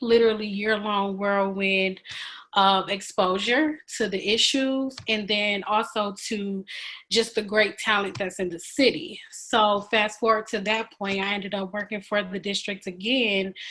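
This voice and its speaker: In a normal speaking voice, a woman talks with an American accent and fairly even intonation. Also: very clean recording, silent background. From Michigan, Benton Harbor area. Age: 20s. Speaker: education equality advocate. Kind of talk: podcast interview.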